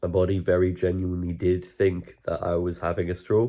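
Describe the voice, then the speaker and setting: In a Geordie accent, a man speaks at a moderate pace against a quiet background. His voice is very deep and low, with a dark, mellow tone. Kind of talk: casual talk to camera.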